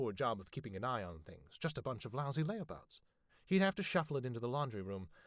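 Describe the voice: Text is read aloud here. The reading is plain.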